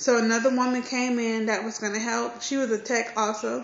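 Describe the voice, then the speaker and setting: Over noticeable background noise and audible room echo, a woman speaks at a moderate pace with monotone, flat intonation. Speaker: vlogger. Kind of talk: personal vlog. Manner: casual, hesitant with fillers.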